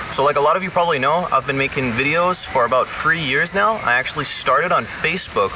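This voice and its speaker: A man races along at a very fast pace, his intonation lively, while noticeable background noise carries on behind him. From Denmark. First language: Danish. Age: 20s. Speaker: YouTuber. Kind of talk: casual talk to camera.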